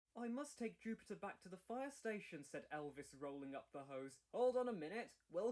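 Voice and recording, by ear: This voice is reading aloud in a natural voice. The words are read out rather than spoken off the cuff.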